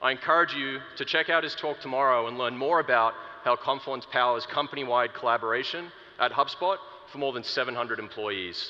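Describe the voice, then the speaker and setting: Noticeable background noise sits behind the speaker. The pace is moderate, with ordinary pitch variation. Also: man. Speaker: product marketer. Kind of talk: conference keynote talk. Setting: stage with audience. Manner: animated.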